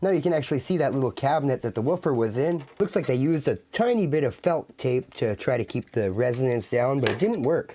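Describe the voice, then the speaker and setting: Using lively intonation and a dark, mellow tone, a man with a fairly high pitch talks at a very fast pace with hardly any pauses. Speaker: audio equipment reviewer. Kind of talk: casual talk to camera.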